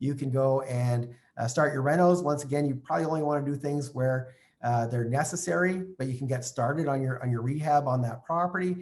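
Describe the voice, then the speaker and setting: There is noticeable background noise here. Through it, a man speaks at a fairly high pitch. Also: ordinary pitch variation, fairly quick pace. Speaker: real estate investing trainer. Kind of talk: online training session. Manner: fast; animated.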